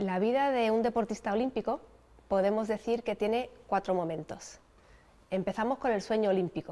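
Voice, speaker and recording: The voice has a dark, mellow tone, ordinary pitch variation and very even loudness. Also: woman, fairly high pitch for a woman, moderate pace. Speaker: Olympic sailing champion. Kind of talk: interview answer.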